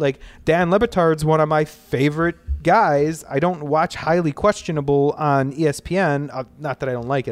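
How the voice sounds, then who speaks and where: A fairly high-pitched man's voice with ordinary pitch variation, music playing in the background. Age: 30s. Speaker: sports podcast host. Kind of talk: casual chat. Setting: cigar shop basement.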